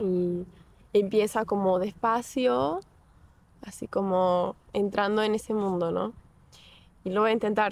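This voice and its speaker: Long, frequent pauses break up very slow speech. Pitch variation is ordinary. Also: woman, medium pitch for a woman. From Portugal, Porto. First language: Portuguese (speaking Spanish). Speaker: psychology student, language learner. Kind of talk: interview.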